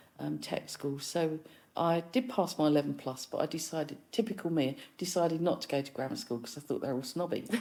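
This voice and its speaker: A woman with a London accent speaks at a fairly quick pace in a very deep, low voice. Her tone is dark and mellow, her intonation lively. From East London, England. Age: 60s. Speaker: musician and filmmaker. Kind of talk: casual chat.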